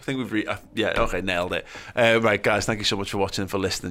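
Talking very fast in a Liverpool accent, the speaker has a bright, sharp tone and ordinary pitch variation in a very clean recording with a silent background. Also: man. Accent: Scouse. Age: 30s. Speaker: podcast host. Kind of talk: casual chat.

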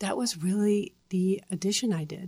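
In a Dutch accent, a woman speaks with fairly even intonation. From Netherlands. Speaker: stroke survivor and advocate. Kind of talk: interview.

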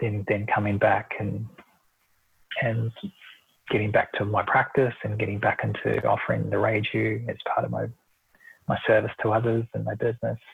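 A man with a New Zealand accent keeps a moderate pace. He leaves long, frequent pauses. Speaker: Reiki and meditation practitioner. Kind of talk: interview.

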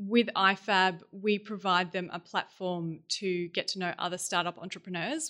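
Against a quiet background, a woman with a medium pitch and a bright, sharp tone speaks at a moderate pace with fairly even intonation. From Melbourne, Australia. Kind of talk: casual interview.

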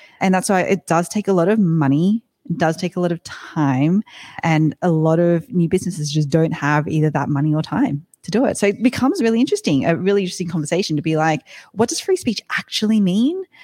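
Woman with a fairly low pitch, a dark, mellow tone and lively intonation, talking at a fairly quick pace in a dry, close sound with no echo. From outside the US. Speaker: tech company CEO. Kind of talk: casual interview chat. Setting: video call.

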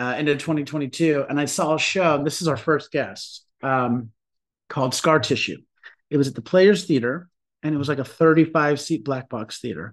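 A man's plain, everyday voice with a fairly high pitch at a moderate pace, with ordinary pitch variation over a quiet background. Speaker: podcast co-host. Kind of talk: casual interview chat. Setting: video call.

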